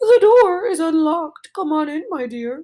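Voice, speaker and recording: An extremely high-pitched, squeaky, female-sounding voice. It is a put-on character voice. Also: moderate pace. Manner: faking sweet, frail voice.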